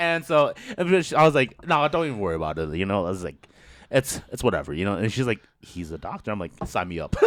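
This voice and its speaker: A man with a fairly low pitch talks loudly at a very fast pace. His tone is animated, with very wide pitch swings. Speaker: podcast host. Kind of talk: casual chat.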